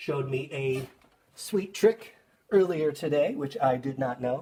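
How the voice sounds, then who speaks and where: A man talks at a fairly slow pace in a fairly high pitch, with ordinary pitch variation and an ordinary speaking voice. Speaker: school art teacher. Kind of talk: tutorial. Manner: casual, with fillers.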